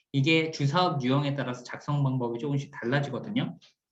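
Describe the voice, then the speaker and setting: A man's fairly high voice, with audible echo from the room. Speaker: cooperative support team leader, instructor. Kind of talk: recorded lecture.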